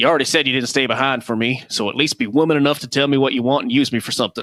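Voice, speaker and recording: A man puts on a character voice with a drawling Southern US accent, talking very fast at a medium pitch with fairly even intonation. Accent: Southern American. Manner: sardonic, drawling, a bit too quick.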